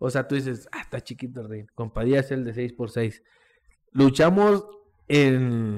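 Speaking at a fairly slow pace in a plain, everyday voice, a man holds a medium pitch while his loudness swings widely. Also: ordinary pitch variation. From Mexico, Coahuila (Monclova). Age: 20s. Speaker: professional wrestler. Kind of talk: casual chat.

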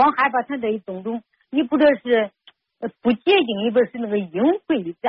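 A woman talks at a moderate pace with lively intonation. Her pitch is fairly high. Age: 50s. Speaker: radio call-in caller. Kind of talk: call-in counseling conversation. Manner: halting, repetitive.

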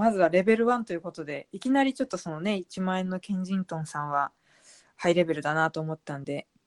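A woman at a fairly low pitch, very fast, with lively intonation and big swings in loudness, in a very clean, dry, close recording with no echo and a silent background. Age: 30s. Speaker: blogger and author. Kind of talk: casual chat.

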